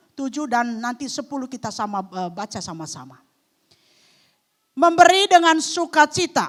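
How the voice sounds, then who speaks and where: A woman talks in an animated tone at a fairly slow pace. Her pitch swings very widely. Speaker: guest preacher. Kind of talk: sermon. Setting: church.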